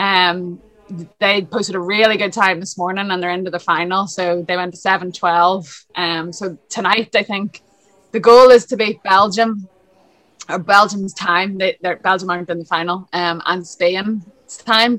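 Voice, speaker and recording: Speaking at a fairly slow pace with a Northern Irish accent, a woman uses a medium pitch and fairly even intonation in a bright, sharp tone. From Lisburn, Northern Ireland. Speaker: swim coach and former international swimmer. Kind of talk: casual interview.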